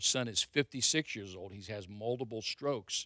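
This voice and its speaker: A man talks at a fairly low pitch. His pitch variation is ordinary. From Ohio, Stark County. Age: 60s. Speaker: pastor. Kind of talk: testimony. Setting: church. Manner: casual.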